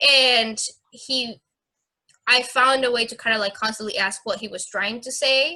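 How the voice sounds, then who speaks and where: With a Spanish accent, a woman speaks at a moderate pace in a high, bright, sharp voice, with ordinary pitch variation and big swings in loudness. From Mexico. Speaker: fencing instructor. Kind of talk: interview. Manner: halting.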